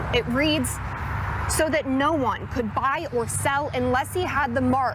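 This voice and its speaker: A woman talks at a moderate pace. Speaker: TV news reporter. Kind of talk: television news reporting, stand-ups and packages. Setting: on location outdoors and in field interviews.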